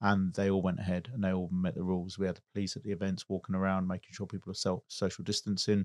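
A man with an English accent talks at a very fast clip in a fairly low voice, the sound dry and close with no echo over a quiet background. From England. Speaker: business owner and car event organiser. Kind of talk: interview.

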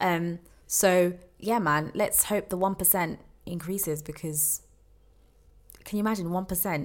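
A woman with a London accent, fairly low in pitch, at a fairly slow pace with fairly even intonation and long, frequent pauses. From England. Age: 20s. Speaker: podcast co-host. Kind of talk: casual chat.

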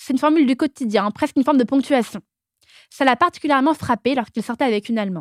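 A woman speaks at a very fast pace with a high pitch and ordinary pitch variation. The recording is very clean with a silent background and a dry, close sound with no echo. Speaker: podcast host. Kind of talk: scripted narration.

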